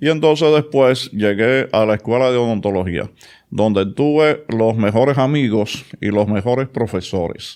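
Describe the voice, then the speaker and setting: A man with a Dominican accent speaks at a fairly slow pace and medium pitch, with ordinary pitch variation and very even loudness, against a quiet background. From Dominican Republic, Santo Domingo (Villa Juana). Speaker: oral and maxillofacial surgeon. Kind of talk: interview.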